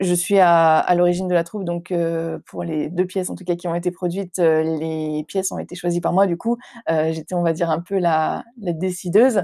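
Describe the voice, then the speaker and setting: A woman's fairly low, dark, mellow voice at a moderate pace with fairly even intonation, on a very clean recording with a silent background. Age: 20s. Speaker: actress and theatre director. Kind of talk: interview. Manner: hesitant, many fillers.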